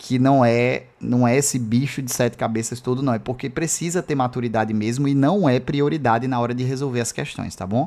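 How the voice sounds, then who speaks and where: A man with a medium pitch, ordinary pitch variation and hardly any pauses. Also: fairly quick pace. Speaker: math teacher. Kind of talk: live online lecture. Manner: fast; casual, filler-heavy.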